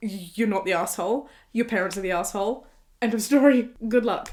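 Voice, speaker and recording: Speaking fairly quickly with a British accent, a woman has a fairly high pitch, ordinary pitch variation, and an animated tone. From Britain. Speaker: YouTuber reacting to online posts. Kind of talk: casual commentary reading posts aloud.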